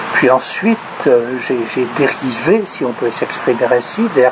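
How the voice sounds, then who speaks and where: A man talks in a medium pitch while background noise is clearly noticeable. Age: 60s. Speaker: sociologist and municipal candidate. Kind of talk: self-introduction interview. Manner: halting, many hesitations.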